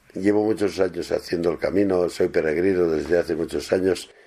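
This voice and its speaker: A man is talking here at a moderate speed. His voice has a dark, mellow tone. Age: 70s. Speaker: pilgrim. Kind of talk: interview.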